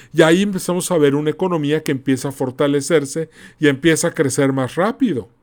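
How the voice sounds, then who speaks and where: A man at a very fast pace, fairly high in pitch with ordinary pitch variation, on a very clean recording with a silent background. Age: 40s. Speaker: podcast host. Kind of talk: solo commentary monologue. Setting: podcast recording. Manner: animated.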